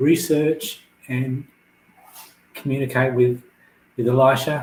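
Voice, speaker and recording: A man speaks at a very slow pace and medium pitch. His intonation is monotone and flat, with noticeable background noise. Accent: Australian. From Australia (New South Wales). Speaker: author. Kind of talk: interview. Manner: soft, low volume.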